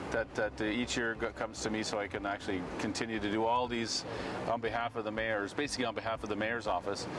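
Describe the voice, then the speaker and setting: With noticeable background noise behind him, a man speaks very fast in a medium pitch, his intonation monotone and flat. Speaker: town crier. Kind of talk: interview answer. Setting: outdoors.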